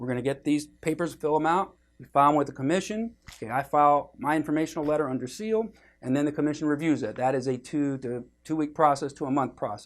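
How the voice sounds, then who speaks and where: On a very clean recording with a silent background, a man talks very fast with ordinary pitch variation. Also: fairly high pitch for a man. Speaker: workers compensation lawyer. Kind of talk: explanatory video for clients. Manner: casual, with many fillers.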